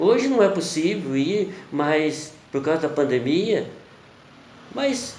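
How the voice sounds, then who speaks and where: A man with a Brazilian accent talks at a very slow pace, his pitch swinging very widely, amid audible room echo and noticeable background noise. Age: 60s. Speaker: preacher. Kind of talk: sermon. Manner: halting.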